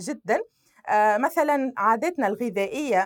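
A woman with an ordinary speaking voice talks at a fairly slow pace, at a fairly high pitch and with lively intonation. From Tunisia, Sfax. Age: 20s. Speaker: civil society activist. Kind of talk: interview testimony.

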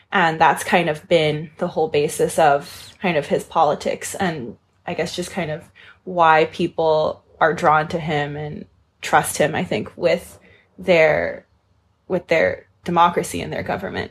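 A woman's somewhat breathy, fairly low voice, fairly slow and fairly even in intonation, on a very clean recording with a silent background. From Hong Kong. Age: 20s. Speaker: author. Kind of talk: interview. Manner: frequent fillers (kind of, um).

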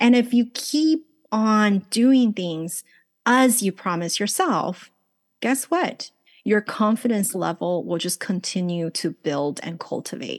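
A woman with a Chinese accent speaks at a very slow pace and medium pitch, her intonation lively. The sound is dry and close with no echo, set against a quiet background. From China-born, raised in Los Angeles. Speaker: life coach and author. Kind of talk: casual interview chat. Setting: video call, remote from Los Angeles.

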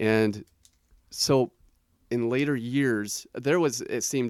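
A man's unremarkable speaking voice at a fairly slow pace, with ordinary pitch variation and a dry, close sound with no echo. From Portland, Oregon, US Pacific Northwest. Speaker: author. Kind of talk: interview.

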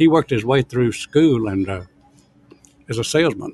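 A man with a Southern US accent speaks with lively intonation. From US South, Alabama. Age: 80s+. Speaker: restaurant owner. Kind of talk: interview.

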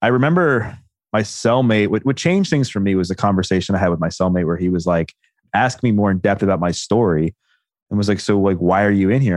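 A man's unremarkable speaking voice, fairly low in pitch, against a quiet background. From Baltimore, US. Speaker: personal trainer and former addict. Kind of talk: interview testimony.

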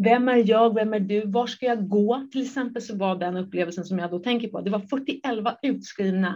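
In a quiet background, a woman speaks in a somewhat breathy, fairly high-pitched voice. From Japan. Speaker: entrepreneur. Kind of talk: interview.

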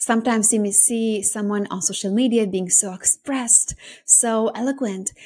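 On a very clean recording with a silent background, a woman with a fairly high, somewhat breathy voice and a dark, mellow tone speaks at a moderate pace with fairly even intonation. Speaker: podcast host and business coach. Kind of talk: solo podcast monologue. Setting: recorded podcast.

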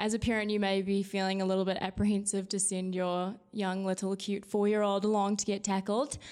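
On a very clean recording with a silent background, a woman with a New Zealand accent speaks at a fairly quick pace in a flat monotone, with very even loudness and hardly any pauses. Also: medium pitch for a woman. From New Zealand, South Island. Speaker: youth rugby and marketing staff. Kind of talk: casual chat.

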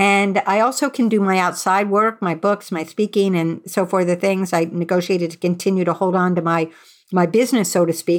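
A woman's unremarkable speaking voice at a medium pitch, fairly quick in pace and very even in loudness, on a very clean recording with a silent background. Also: hardly any pauses. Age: 60s. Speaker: journalist and author. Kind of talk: interview.

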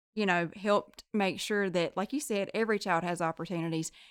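On a very clean recording with a silent background, a woman talks at a fairly quick pace. She has a Southern US accent and ordinary pitch variation. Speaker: nurse practitioner and podcast co-host. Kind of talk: casual interview.

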